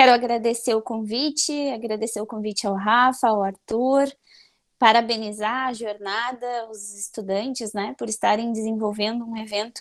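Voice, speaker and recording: A woman speaks in a monotone at a moderate pace, her fairly high pitch staying flat throughout. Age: 30s. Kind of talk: conference talk.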